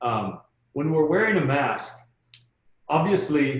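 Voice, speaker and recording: Room echo can be heard as a man with a fairly high pitch speaks in a somewhat breathy voice with lively intonation. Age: middle-aged. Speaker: hospitality trainer. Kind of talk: webinar training. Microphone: muffled by face mask.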